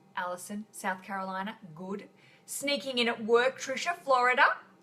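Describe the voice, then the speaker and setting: A woman speaks with an Australian accent at a moderate pace and ordinary pitch variation. Noticeable background noise runs behind her. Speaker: podcast host. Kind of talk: live stream chat. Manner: casual, chatty.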